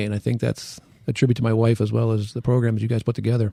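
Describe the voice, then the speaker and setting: Speaking very fast in an American accent, a man with a medium pitch and a dark, mellow tone is heard in a very clean, dry, close recording with a silent background and no echo. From western Pennsylvania. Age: 60s. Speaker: orthopedic surgeon and amateur triathlete. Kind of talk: podcast interview.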